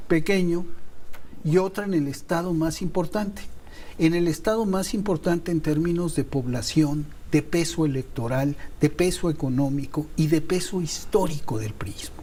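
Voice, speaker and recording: A man's voice sits high in pitch, with ordinary pitch variation and a moderate pace. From Mexico. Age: 70s. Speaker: TV producer and political commentator. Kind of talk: heated debate.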